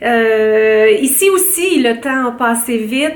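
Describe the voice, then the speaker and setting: A woman's voice comes with audible room echo. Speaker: beauty vlogger. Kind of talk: casual vlog talk to camera. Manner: hesitant, many fillers.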